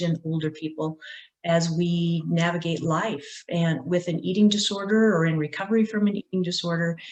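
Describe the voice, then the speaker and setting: A woman speaks at a moderate pace in a normal speaking voice, her fairly low pitch carried on fairly even intonation. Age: 50s. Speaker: recovery advocate. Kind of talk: panel discussion.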